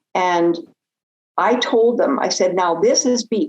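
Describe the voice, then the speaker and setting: Her speech is very slow. The voice belongs to a woman. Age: 80s+. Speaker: rancher. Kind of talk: casual interview conversation. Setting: podcast interview. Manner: rambling, with hesitations.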